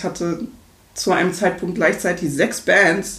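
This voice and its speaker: At a moderate pace comes a plain, everyday voice. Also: woman. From Berlin, Germany. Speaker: singer and vocal coach. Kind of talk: interview. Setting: home studio.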